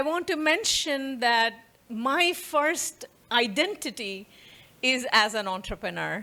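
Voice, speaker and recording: In a very clean recording with a silent background, a woman with an Indian accent projects a raised, high-pitched voice with a bright, sharp tone and lively intonation at a very slow pace. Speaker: professor. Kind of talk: lecture.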